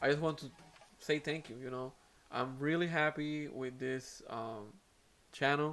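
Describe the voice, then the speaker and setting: A man speaks with a Puerto Rican accent. His pace is fairly slow and his intonation fairly even. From Puerto Rico. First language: Spanish. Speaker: aquarium hobby YouTuber. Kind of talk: live stream chat. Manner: hesitant, many fillers.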